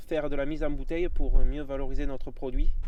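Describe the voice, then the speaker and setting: Audible room echo surrounds a man as he talks. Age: young. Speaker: winegrower. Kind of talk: interview.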